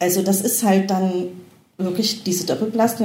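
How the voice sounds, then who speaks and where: Medium-pitched female speech, moderately paced, with ordinary pitch variation, noticeable background noise and audible room echo. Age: 40s. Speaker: mature student and mother. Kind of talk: interview.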